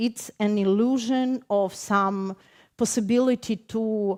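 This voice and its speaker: A woman's fairly high voice with a Ukrainian accent, at a very slow pace with ordinary pitch variation, in a very clean recording with a silent background and a dry, close sound with no echo. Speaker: poet. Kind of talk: panel discussion. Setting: stage with audience. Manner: halting.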